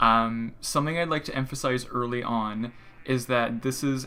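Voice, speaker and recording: Over light background noise, a man's bright, sharp voice keeps fairly even intonation. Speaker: student running an animation workshop; lecturer. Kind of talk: livestream workshop presentation. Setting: livestream with music playing. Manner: fast. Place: home room. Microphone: earbuds.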